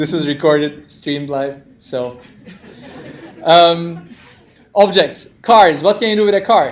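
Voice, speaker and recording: With a non-native accent, the speaker goes at a fairly slow pace with long, frequent pauses and ordinary pitch variation, amid audible room echo and noticeable background noise. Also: man, high pitch for a man. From Turkey. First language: non-native English speaker. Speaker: programming instructor. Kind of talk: interactive lecture. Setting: classroom with live audience, streamed.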